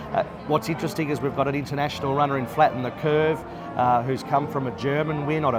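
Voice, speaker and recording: Over music in the background, a man with an Australian accent and a fairly high pitch talks at a very fast pace. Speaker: race caller. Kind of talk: interview answer. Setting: bar at a racetrack.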